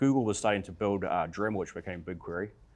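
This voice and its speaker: This speaker talks at a very fast pace with a New Zealand accent. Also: man. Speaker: tech company founder, panelist. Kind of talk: panel discussion.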